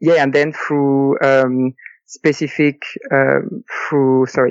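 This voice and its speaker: This man speaks with fairly even intonation at a fairly high pitch. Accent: French. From France. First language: French. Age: 30s. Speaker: early retiree, full-time traveler. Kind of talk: interview. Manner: halting, many fillers.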